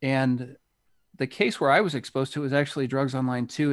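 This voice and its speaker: A man with an American accent uses a normal speaking voice at medium pitch, talking at a fairly quick pace with fairly even intonation in a very clean recording with a silent background. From United States. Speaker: retired police officer, Bitcoin hardware developer. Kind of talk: casual interview.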